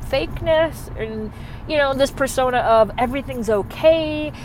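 With an American accent, a woman speaks at a fairly slow pace. Her pitch varies in an ordinary way against noticeable background noise. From Michigan, US. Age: 30s. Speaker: podcaster. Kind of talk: casual solo monologue. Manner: hyper and excitable.

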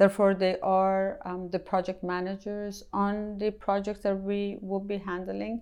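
Against a quiet background, a woman speaks at medium pitch with hardly any pauses. Her delivery is fairly slow and monotone, with flat intonation. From Iran. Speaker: company CEO, chemical engineer. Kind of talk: interview. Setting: office.

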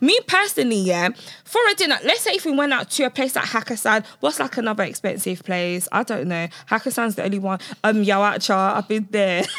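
A woman's fairly high, animated voice with lively intonation and a fairly quick pace, set against noticeable background noise. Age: 20s. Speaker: podcast co-host. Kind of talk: casual chat.

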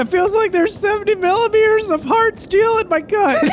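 A voice at an extremely high pitch speaks at a moderate pace over clear background noise. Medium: actual play. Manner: angry, profane, snapping.

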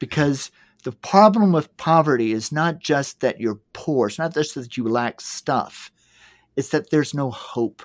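A man with an unremarkable speaking voice and an American accent, fairly high in pitch, lively in intonation and fairly slow, in a dry, close sound with no echo and a very clean recording with a silent background. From US South, Georgia. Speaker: entrepreneur and nonprofit founder. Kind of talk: casual interview chat.

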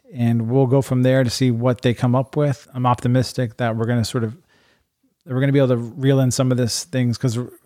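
In a Midwestern American accent, a man with a dark, mellow tone and medium pitch talks very fast, his intonation monotone and flat and his loudness very even. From Iowa, Urbandale. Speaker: state legislator. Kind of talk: casual chat. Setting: host's living room.

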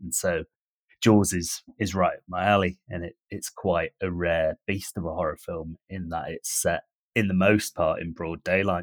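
A man with a very deep, low pitch talks at a fairly slow pace in a monotone, with flat intonation and big swings in loudness. The sound is dry and close with no echo, in a very clean recording with a silent background. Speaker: podcast panelist. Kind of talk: casual chat.

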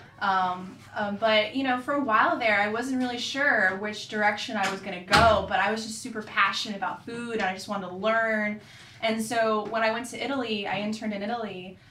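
With an American accent, a woman talks at a fairly quick pace in a fairly high pitch and fairly even intonation, with audible room echo and noticeable background noise. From Florida, Orlando area. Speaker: pastry chef. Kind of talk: casual interview.

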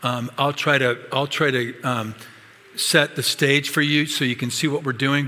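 Using a normal speaking voice, a man speaks fairly slowly at a medium pitch with fairly even intonation. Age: 60s. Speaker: pastor. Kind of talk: sermon.

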